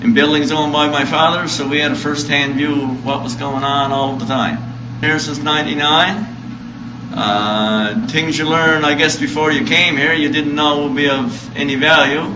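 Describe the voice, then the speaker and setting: Over noticeable background noise, a man with a Newfoundland accent talks at a moderate pace in a fairly high pitch with ordinary pitch variation. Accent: Newfoundland and Labrador English. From Red Bay, Labrador, Canada. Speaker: historic site interpreter. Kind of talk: casual interview answer. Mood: friendly, relaxed. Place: hall. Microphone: camera far.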